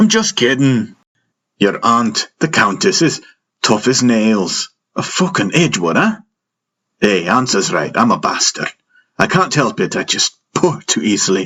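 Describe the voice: Putting on a character voice, a man speaks fairly slowly in a fairly low, bright, sharp tone with a slightly husky edge and big pitch swings.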